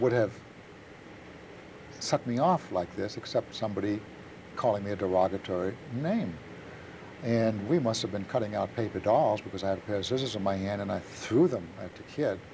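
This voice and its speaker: A man with a dark, mellow, somewhat breathy tone, fairly low pitch with ordinary variation, and a fairly quick pace broken by long, frequent pauses. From Germany. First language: German. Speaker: Holocaust survivor. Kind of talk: testimony. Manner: halting.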